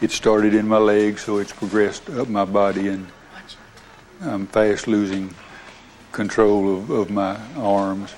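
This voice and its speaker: A man speaks fairly slowly at a fairly low pitch, with monotone, flat intonation. He takes long, frequent pauses. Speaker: ALS patient, veterinarian. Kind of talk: interview. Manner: halting.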